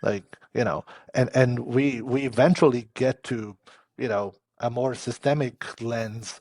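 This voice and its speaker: At a fairly slow pace, a man speaks with a non-native accent and ordinary pitch variation. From Transylvania, Romania. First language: not English. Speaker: service designer. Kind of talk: casual chat. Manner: halting, many repetitions and fillers.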